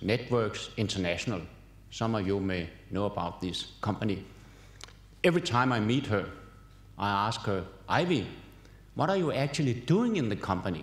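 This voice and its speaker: A man's fairly low voice with lively intonation at a moderate pace, marked by long, frequent pauses and audible room echo. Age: 70s. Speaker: professor. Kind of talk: keynote lecture. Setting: conference hall with audience.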